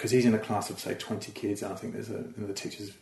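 A man with an Australian accent speaks in a fairly low voice, his intonation flat and monotone. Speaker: comedian and TV writer. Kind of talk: casual interview chat. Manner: easygoing, chilled out.

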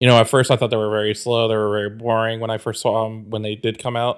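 A very clean recording of a man against a silent background. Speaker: podcast co-host. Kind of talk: casual banter podcast. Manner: animated, excitable.

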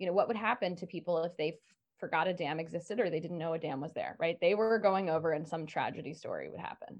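A woman speaks in a normal speaking voice. Her pitch is fairly low, with ordinary pitch variation. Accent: American. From rural Maryland, US. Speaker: stress management coach. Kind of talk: podcast interview.

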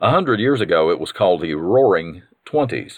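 At a fairly quick pace, a man with a Southern US accent speaks at a medium pitch with very wide pitch swings. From North Carolina. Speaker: podcast host. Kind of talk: scripted-sounding storytelling, reminiscing about great-grandmother. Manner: warm, nostalgic.

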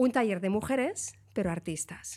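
Over a silent background in a very clean recording, a woman speaks at a medium pitch in an animated tone. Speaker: illustrator, writer and science communicator. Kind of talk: casual interview chat.

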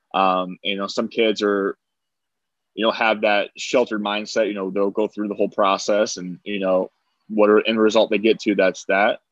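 In a dry, close sound with no echo, a man with an American accent speaks at a moderate pace in a fairly low pitch with monotone, flat intonation. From US Midwest, Angola, Indiana. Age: 20s. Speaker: delivery business founder. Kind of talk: casual chat.

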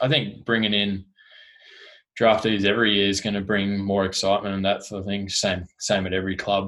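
With an Australian accent, a man speaks at a fairly low pitch in a monotone, flat way. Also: very clean recording, silent background. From Tasmania, Australia. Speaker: sports club digital communications officer. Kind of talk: casual interview.

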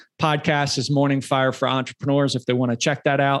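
The recording is very clean, with a silent background and a dry, close sound with no echo. A man speaks at a medium pitch. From suburban middle America. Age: 40s. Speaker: mindset and confidence coach. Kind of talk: interview guest.

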